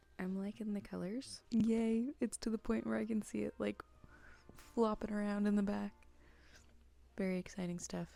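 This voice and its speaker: Soft-spoken speech moves at a moderate pace, broken by long, frequent pauses. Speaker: crochet vlogger. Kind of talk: casual vlog narration. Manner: soft-spoken, speaking quietly.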